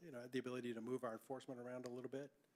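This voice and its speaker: The man's voice sits at a medium pitch. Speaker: police chief. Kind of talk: public meeting report. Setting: town board meeting. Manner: fast.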